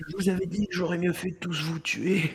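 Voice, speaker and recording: A man puts on a character voice, raspy and high-pitched, at a moderate pace. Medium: actual play. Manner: panicky, shouting.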